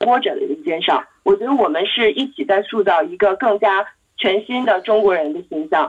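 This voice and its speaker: A woman at medium pitch with an ordinary speaking voice, lively intonation and a moderate pace. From Beijing, China. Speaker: marketing professional at a resort company. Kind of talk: casual discussion.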